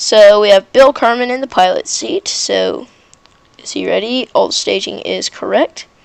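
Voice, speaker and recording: A woman talks while background noise is clearly noticeable. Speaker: gaming YouTuber. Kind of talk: gameplay commentary. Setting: home bedroom. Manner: casual, hesitant with fillers.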